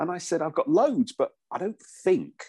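A man speaks in an English accent at a fairly slow pace. The sound is dry and close, with no echo. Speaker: voiceover artist and former radio presenter. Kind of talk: casual chat.

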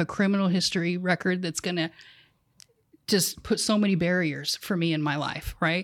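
An ordinary speaking voice from a woman, medium in pitch, at a fairly quick pace. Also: very clean recording, silent background. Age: 40s. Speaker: peer support specialist. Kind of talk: casual interview.

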